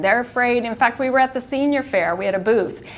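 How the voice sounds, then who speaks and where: The woman here speaks at a high pitch. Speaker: retired pharmacist and end-of-life volunteer. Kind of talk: community presentation. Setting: live presentation to a senior audience.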